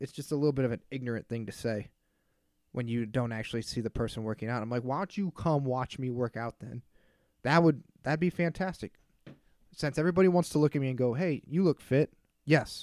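It's a plain, everyday voice at a fairly quick pace with ordinary pitch variation and a dry, close sound with no echo. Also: man, medium pitch for a man. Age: 30s. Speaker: solo podcast host. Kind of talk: casual monologue. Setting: at home.

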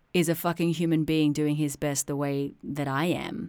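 Someone with an Australian accent speaks in an animated tone on a very clean recording with a silent background. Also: woman. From Australia (suburban Sydney). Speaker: podcast host, poet and musician. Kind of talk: personal storytelling monologue.

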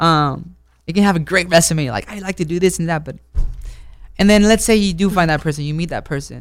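On a very clean recording with a silent background, a man speaks fairly quickly in a high voice with ordinary pitch variation. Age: 20s. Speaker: dating show guest. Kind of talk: casual chat. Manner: halting.

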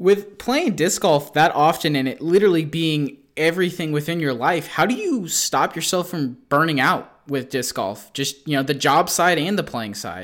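In an ordinary speaking voice with an American accent, the speaker talks at a moderate pace with lively intonation and hardly any pauses, on a very clean recording with a silent background. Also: man, fairly high pitch for a man. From Kansas. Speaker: podcast host. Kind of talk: casual interview.

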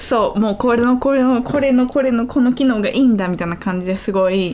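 Over noticeable background noise, a woman speaks fairly quickly in a fairly high voice with ordinary pitch variation. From Kansai, Japan (Kyoto). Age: 20s. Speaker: YouTuber and iPad designer. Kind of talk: casual chat. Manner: lighter, giggly.

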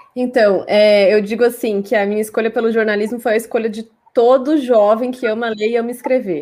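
This woman has an unremarkable speaking voice pitched fairly high, with fairly even intonation. She moves at a fairly quick pace with hardly any pauses. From Brazil, Cuiabá, Mato Grosso. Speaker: communication researcher and journalist. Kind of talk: interview. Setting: live stream.

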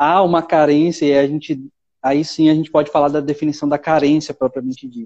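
A man speaks with a fairly high pitch and a dark, mellow tone. The sound is dry and close with no echo, over a quiet background. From Brazil, São Paulo city. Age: 20s. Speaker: seminarian, former missionary. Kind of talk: casual chat.

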